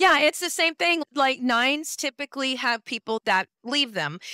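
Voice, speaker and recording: An animated, raised and projected voice in a bright, sharp tone moves at a fairly quick pace with very wide pitch swings, dry and close with no echo on a very clean recording with a silent background. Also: woman. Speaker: numerologist. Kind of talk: expert interview, explaining. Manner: fast.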